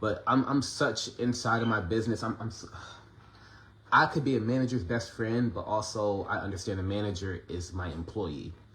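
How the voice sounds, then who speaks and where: A man's plain, everyday voice, fairly low in pitch, at a moderate pace with ordinary pitch variation. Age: 30s. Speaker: independent musician and vlogger. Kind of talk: casual monologue. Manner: conversational, filler-heavy.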